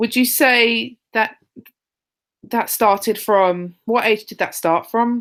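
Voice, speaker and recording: A woman with a London accent and a fairly high pitch, at a very slow pace with fairly even intonation. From London, England. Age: 30s. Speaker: interviewer, online group admin. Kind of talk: interview.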